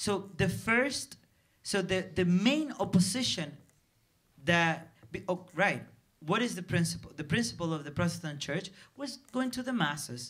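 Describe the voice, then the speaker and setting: A man with a Spanish accent, high in pitch, at a moderate pace with very wide pitch swings and long, frequent pauses. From Dominican Republic. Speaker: film director. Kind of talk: festival Q&A. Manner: halting, many repetitions.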